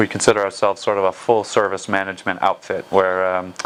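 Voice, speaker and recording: A man's fairly low voice with an American accent, fairly quick delivery, and noticeable background noise. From United States. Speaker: football agent. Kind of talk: interview. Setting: office.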